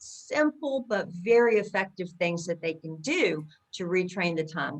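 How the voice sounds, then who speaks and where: A woman speaks in a normal speaking voice at medium pitch. She has an American accent. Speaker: accent coach. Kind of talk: interview.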